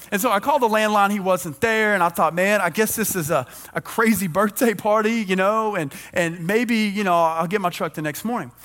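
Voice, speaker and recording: The speaker talks quickly in an animated tone. Music plays in the background. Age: 30s. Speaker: preacher. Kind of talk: sermon. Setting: church.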